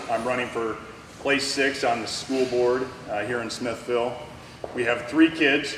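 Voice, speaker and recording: A man with an American accent and medium pitch, fairly even intonation, audible room echo and noticeable background noise. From Arizona. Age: 40s. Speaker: school board candidate. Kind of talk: candidate forum speech. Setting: public forum with audience.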